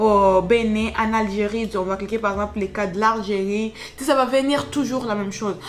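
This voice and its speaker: Noticeable background noise runs under this recording. A woman speaks at a fairly quick pace and a medium pitch. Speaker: YouTuber giving job-search tips. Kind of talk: screen-share tutorial. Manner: fast; casual, filler-heavy.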